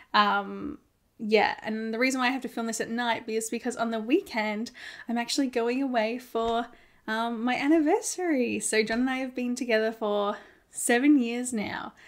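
At a moderate pace, a woman with an Australian accent speaks in a fairly high voice with ordinary pitch variation.

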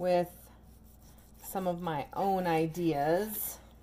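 A woman with a dark, mellow tone speaks at a very slow pace over light background noise. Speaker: home cook vlogger. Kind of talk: cooking tutorial chat. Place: kitchen. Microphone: camera far.

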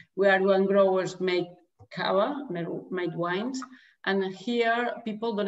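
Music plays in the background. The intonation stays fairly even. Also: woman. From Catalonia, Spain. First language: Catalan or Spanish. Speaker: winemaker and winery manager. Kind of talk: interview. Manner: halting. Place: home room. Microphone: video call.

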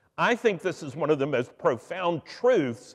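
Vocal fry colors this man's fairly high pitch, which moves in very wide pitch swings. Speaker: priest giving a sermon. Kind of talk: church sermon. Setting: church sanctuary.

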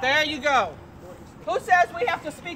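With crowd noise in the background, a woman speaks at a moderate pace. Her intonation is lively. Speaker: protester. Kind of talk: heated street argument. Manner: confrontational. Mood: indignant, argumentative. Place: street.

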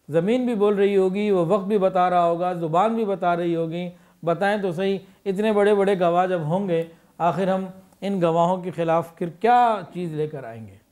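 Over a quiet background, a man speaks at a high pitch with ordinary pitch variation. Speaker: speaker. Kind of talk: sermon. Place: studio. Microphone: studio mic.

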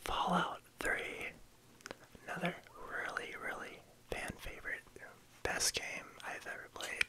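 Whispering, a man pauses long and often while his loudness swings widely. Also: fairly slow pace. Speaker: ASMR creator. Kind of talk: ASMR video game collection show-and-tell, casual talk to camera. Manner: soft-spoken. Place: home room. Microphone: phone near.

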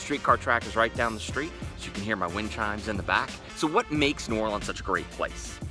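A man's fairly low voice at a fairly quick pace, dry with no echo, with clear music behind it. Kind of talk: casual vlog chat. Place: garden. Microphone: phone near.

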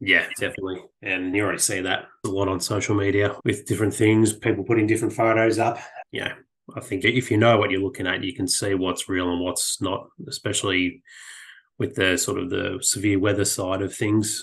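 Someone speaks at a fairly quick pace in an Australian accent, with fairly even intonation. The background is quiet. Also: man, fairly low pitch for a man. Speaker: landscape and weather photographer. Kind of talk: casual interview.

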